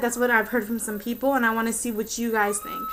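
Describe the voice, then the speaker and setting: A woman's high-pitched voice with music in the background. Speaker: vlogger. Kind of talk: casual vlog. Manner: fast; hesitant, many fillers.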